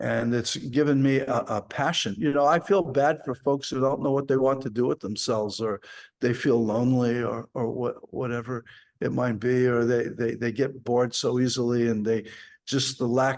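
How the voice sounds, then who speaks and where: A man speaks at a moderate pace. His pitch sits in the middle range, and his intonation stays fairly even. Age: 60s. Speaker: martial arts teacher. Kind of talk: podcast interview. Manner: halting, many fillers.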